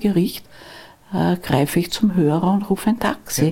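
Somewhat breathy and fairly low in pitch, a woman speaks at a moderate pace in a dark, mellow tone with ordinary pitch variation. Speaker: lawyer. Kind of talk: interview. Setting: live event forum. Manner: quiet.

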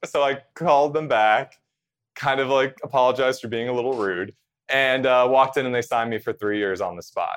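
This man has a normal speaking voice, talking at a fairly quick pace with medium pitch and ordinary pitch variation. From central New Jersey. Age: 30s. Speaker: TV host and correspondent. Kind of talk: casual interview chat.

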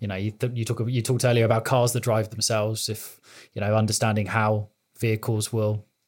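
With a British accent, a man talks very fast in a fairly low, monotone, flat voice. The recording is very clean, the background silent. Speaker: IT security technologist. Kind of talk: podcast interview.

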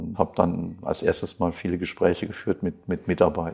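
A man's very deep, low voice with a dark, mellow tone, at a moderate pace against a quiet background. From western Germany, Krefeld (North Rhine-Westphalia). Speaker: company managing director, chemist. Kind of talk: interview. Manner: hesitant, many fillers and repetitions.

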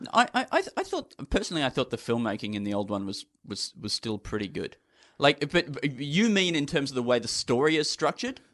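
Against a quiet background, a man with an Australian accent speaks at a fairly quick pace in a fairly high voice. His pitch swings very widely, and the sound is dry and close with no echo. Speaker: comedian. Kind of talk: casual chat.

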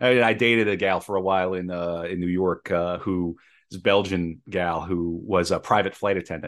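A man's very deep, low voice with an American accent, a fairly quick pace, fairly even intonation and a quiet background. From US Midwest, Minnesota. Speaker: playwright and podcast co-host. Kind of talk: casual chat.

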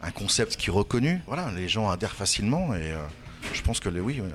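A man with an unremarkable speaking voice talks at a fairly low pitch with lively intonation. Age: 50s. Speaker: bar manager. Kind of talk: interview.

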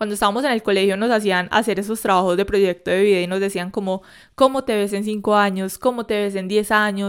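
A woman's medium-pitched voice at a very fast pace, fairly even in intonation, on a very clean recording with a silent background. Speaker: psychologist and podcast host. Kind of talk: solo podcast monologue.

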